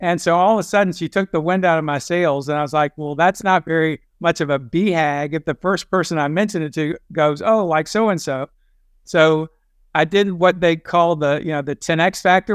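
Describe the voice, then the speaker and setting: An ordinary speaking voice moves at a fairly quick pace with ordinary pitch variation, captured in a dry, close sound with no echo over a quiet background. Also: man. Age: 60s. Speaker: endurance athlete. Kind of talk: podcast interview.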